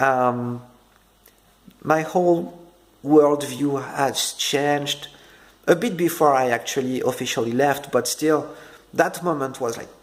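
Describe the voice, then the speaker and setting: A man with a French accent and a fairly high pitch, at a fairly slow pace with ordinary pitch variation and long, frequent pauses. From France. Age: 30s. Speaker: ex-Jehovah's Witness vlogger. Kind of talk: personal testimony. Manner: halting, many fillers and repetitions.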